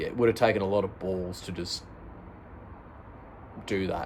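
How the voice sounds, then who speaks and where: This man has an Australian accent and a very deep, low pitch. He keeps his intonation fairly even and moves at a moderate pace. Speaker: product reviewer and audiobook-style reader. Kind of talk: casual talk to camera, review intro and chat. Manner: softly spoken, relaxed.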